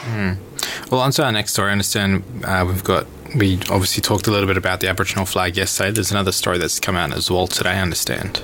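At a very fast pace, a man speaks with a very deep, low pitch, fairly even intonation and very even loudness. Noticeable background noise sits behind him. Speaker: radio host.

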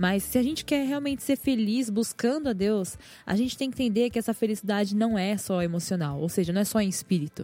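In a very clean recording with a silent background, a woman with a fairly high, dark and mellow voice speaks at a fairly quick pace with lively intonation, very even loudness and hardly any pauses. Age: 20s. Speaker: journalist, podcast scriptwriter. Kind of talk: casual chat.

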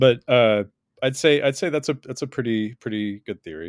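The recording is very clean and the background silent. A man speaks at a moderate pace, his pitch varying in an ordinary way. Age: 40s. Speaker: comic book artist. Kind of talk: interview. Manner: halting.

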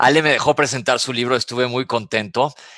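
Bright and sharp in tone, the voice moves at a fairly quick pace with a Mexican accent, sounding dry and close with no echo against a quiet background. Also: man. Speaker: doctor and health author. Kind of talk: casual radio chat.

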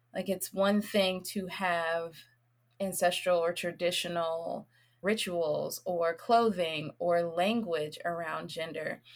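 With an American accent, a woman speaks in a normal speaking voice at a fairly low pitch, fairly even intonation and a fairly slow pace, on a very clean recording with a silent background. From US South, Nashville, Tennessee. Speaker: reproductive justice educator and healer. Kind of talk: casual interview conversation.

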